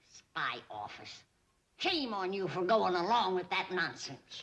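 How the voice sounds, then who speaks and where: A woman uses a put-on character voice at a medium pitch. She speaks at a fairly slow pace with ordinary pitch variation. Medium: short film. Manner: sharp, bossy.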